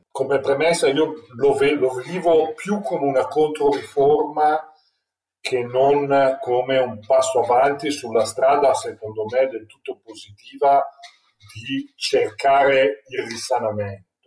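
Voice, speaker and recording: Music plays in the background as a man speaks at a very slow pace. His pitch is fairly high. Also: ordinary pitch variation. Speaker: turnaround manager for companies in crisis. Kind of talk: expert interview.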